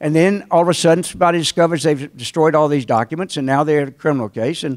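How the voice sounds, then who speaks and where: Speaking very fast with a Southern accent, a man with a fairly high pitch and ordinary pitch variation is heard in a dry, close sound with no echo on a very clean recording with a silent background. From North Carolina. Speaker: trial lawyer. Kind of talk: invited talk to alumni audience. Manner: conversational storytelling.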